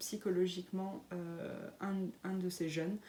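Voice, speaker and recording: The woman's tone is dark and mellow. She speaks at a very slow pace. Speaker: knitting and sewing podcaster. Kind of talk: casual podcast monologue. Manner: hesitant, many fillers.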